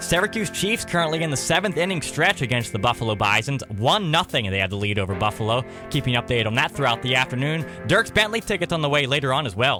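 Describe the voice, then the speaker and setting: With music in the background, a man at medium pitch talks upbeat and very fast, with very wide pitch swings and hardly any pauses. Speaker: country radio DJ. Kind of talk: radio show host patter and contest calls. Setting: radio studio. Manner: upbeat, friendly.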